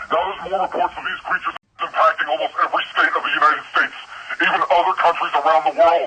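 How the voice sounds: Putting on a character voice, a man talks fast at a fairly high pitch with fairly even intonation, his bright, sharp tone carrying a husky, rough edge.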